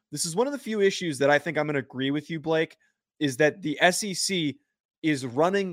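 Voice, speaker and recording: With an American accent and a plain, everyday voice, a man speaks at a fairly high pitch with ordinary pitch variation, in a dry, close sound with no echo on a very clean recording with a silent background. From New Jersey. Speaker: sports podcast co-host.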